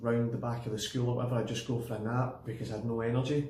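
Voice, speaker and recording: A man speaks with a Glaswegian accent at a medium pitch. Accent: Glaswegian Scottish. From Glasgow, Scotland. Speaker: personal trainer. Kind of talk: casual personal story to camera.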